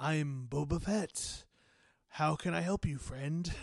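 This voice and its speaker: Putting on a character voice, a man speaks in a fairly high pitch. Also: fairly slow pace. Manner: friendly and helpful, mock-customer-service.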